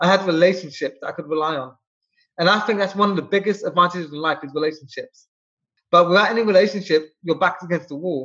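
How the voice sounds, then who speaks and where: Talking very fast, a man with a high pitch uses a bright, sharp tone and fairly even intonation. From England, London. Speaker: SEO expert, entrepreneur. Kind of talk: interview.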